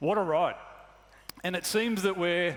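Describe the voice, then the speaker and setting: A man with a slight Australian accent. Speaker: truck company executive. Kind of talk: corporate presentation. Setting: stage with audience.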